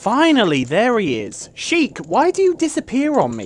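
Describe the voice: Someone uses a put-on character voice at a fairly slow pace. The pitch swings very widely. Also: woman, fairly high pitch for a woman.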